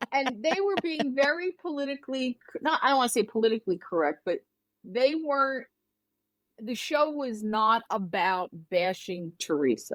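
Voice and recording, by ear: A woman talks at a moderate pace. Her fairly high voice has lively intonation.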